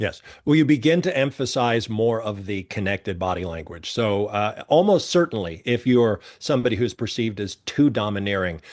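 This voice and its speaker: A man at a fairly low pitch, lively in intonation, moderate in pace with hardly any pauses, against a quiet background. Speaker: body language expert. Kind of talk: interview.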